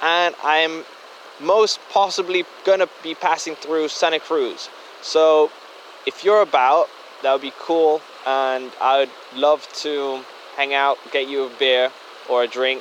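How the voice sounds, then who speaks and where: A man's fairly high-pitched voice with a German accent and ordinary pitch variation, at a very slow pace with long, frequent pauses, over noticeable background noise. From Germany. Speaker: listener. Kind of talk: voice memo. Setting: outdoors by a creek.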